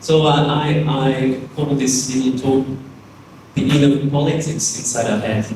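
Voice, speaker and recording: Over noticeable background noise and audible room echo, a man with a French accent speaks at a fairly slow pace with monotone, flat intonation. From France. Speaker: architect and teacher. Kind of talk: lecture.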